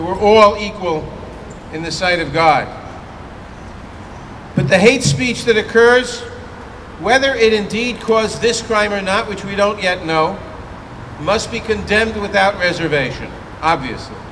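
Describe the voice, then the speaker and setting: A man with an American accent and a high pitch speaks with ordinary pitch variation and long, frequent pauses over noticeable background noise. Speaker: US congressman speaking at a vigil. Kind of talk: public speech at a memorial vigil.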